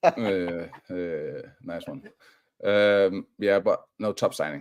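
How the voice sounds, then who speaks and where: Speaking at a very slow pace, a man's voice shows big swings in loudness. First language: not English. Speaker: football fan co-presenter. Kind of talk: casual chat on live stream. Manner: animated; halting.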